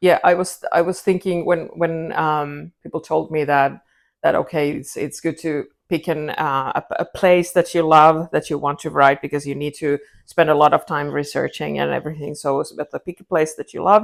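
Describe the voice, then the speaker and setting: In a very clean recording with a silent background, a woman speaks with a Finnish accent at a moderate pace. Her pitch is very deep and low, and her intonation is monotone and flat. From Finland. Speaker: crime writer. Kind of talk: interview. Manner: halting.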